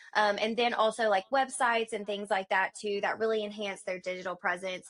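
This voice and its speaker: A woman talks with a strong Southern US accent. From US South. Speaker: marketing agency owner. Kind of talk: podcast interview. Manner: animated.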